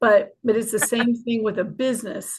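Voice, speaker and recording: Somewhat breathy, a woman talks at a fairly quick pace. Her pitch sits fairly high. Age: 60s. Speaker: retired army officer, memorial president. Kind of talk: podcast interview. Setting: live streamed video podcast.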